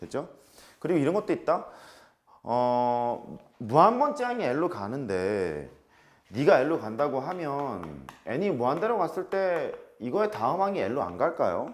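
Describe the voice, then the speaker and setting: A man speaks with a fairly high pitch and very wide pitch swings. Room echo is audible. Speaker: math teacher. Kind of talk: lecture. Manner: fast.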